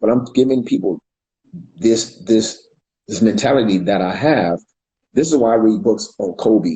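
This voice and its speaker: A man with an American accent talks at a moderate pace. His tone is dark and mellow, and somewhat breathy. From US West Coast, California. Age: 50s. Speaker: street dance pioneer. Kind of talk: interview.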